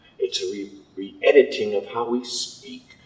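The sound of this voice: Speaking at a fairly slow pace, a man has a fairly low pitch, ordinary pitch variation and a slightly mellow tone.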